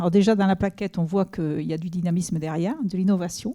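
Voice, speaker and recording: A woman with a Toulouse accent speaks in a dark, mellow tone with ordinary pitch variation on a very clean recording with a silent background. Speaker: senior education official. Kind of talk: official speech. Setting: inauguration event with audience. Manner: halting, many hesitations.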